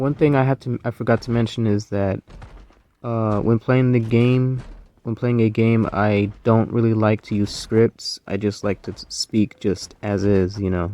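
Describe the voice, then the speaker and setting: A man with a dark, mellow tone speaks at a medium pitch and fairly slow pace, intonation fairly even, the sound dry and close with no echo. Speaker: gaming YouTuber. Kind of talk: gameplay commentary. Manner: unscripted, some stuttering; casual, conversational.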